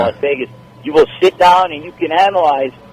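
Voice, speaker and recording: A man's high-pitched voice at a moderate pace, with fairly even intonation and noticeable background noise. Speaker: sports anchor and boxing ring announcer. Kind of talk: podcast interview answer about boxing. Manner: conversational, friendly, talkative.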